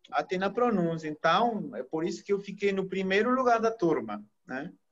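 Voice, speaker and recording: This man talks at a fairly slow pace in a high voice with lively intonation. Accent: Peruvian. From Peru. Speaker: chemical engineer and teacher. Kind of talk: interview.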